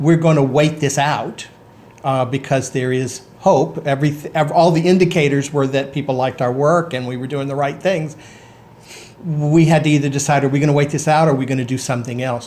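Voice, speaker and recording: Talking at a fairly quick pace, a man uses a fairly high pitch and fairly even intonation. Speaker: small business co-owner, vlogger. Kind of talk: casual chat. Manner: halting, many repetitions.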